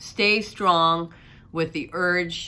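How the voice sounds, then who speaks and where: The woman's voice has a bright, sharp tone. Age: 60s. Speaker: weight loss surgery vlogger. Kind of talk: casual talk to camera.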